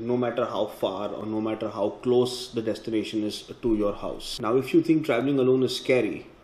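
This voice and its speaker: A man talks at a fairly quick pace with ordinary pitch variation. Audible room echo surrounds his voice. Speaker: motorcycle travel vlogger. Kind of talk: casual vlog chat. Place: home room. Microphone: phone near.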